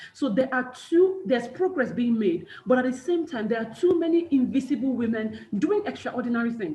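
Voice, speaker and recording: Hardly pausing at all, a woman speaks at a high pitch with very wide pitch swings. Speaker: personal branding coach and motivational speaker. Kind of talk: webinar talk. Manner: fast; animated.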